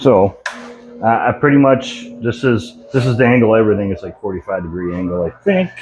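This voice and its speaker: Backed by music in the background, a man talks at a fairly quick pace with lively intonation. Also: medium pitch for a man. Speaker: homestead content creator. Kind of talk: behind-the-scenes tutorial vlog. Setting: workshop with lavalier mic, camera at distance. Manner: casual, hesitant with fillers.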